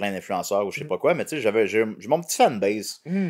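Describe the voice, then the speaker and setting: A man talks at a fairly quick pace in a Quebec accent, his pitch swinging very widely. The background is quiet. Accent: Québécois French. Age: 30s. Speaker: comedian. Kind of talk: casual chat. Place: home room. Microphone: studio mic.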